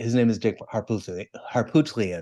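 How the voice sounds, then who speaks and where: Against a quiet background, a man with an unremarkable speaking voice talks at a medium pitch and a moderate pace, his intonation fairly even. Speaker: podcast co-host. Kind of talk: casual chat.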